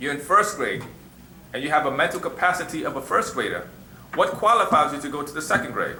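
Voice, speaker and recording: A man talking at a very fast pace, with noticeable background noise and audible room echo. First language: Arabic. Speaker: religious teacher. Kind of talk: question and answer class. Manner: conversational, repeats you know what I'm saying.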